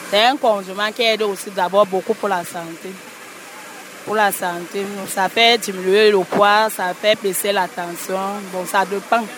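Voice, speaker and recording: Noticeable background noise sits behind a woman speaking at a medium pitch. Her intonation is fairly even and her pace very slow. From western Cameroon, Bamileke. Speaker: spice vendor. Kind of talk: vox pop.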